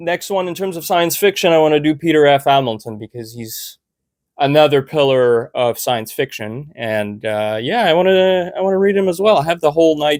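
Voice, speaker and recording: This man's voice sits fairly high, with lively intonation at a moderate pace. The sound is dry and close with no echo, on a very clean recording over a silent background. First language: French. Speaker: booktuber. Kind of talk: casual chat. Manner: halting.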